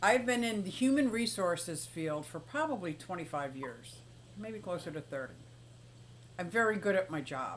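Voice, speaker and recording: A woman with an American accent speaks at a moderate pace in an animated tone. Her pitch swings very widely, and vocal fry comes through. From Pennsylvania, Philadelphia. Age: 60s. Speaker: aquarium and exotic pet streamer. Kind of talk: casual live stream chat. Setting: live stream.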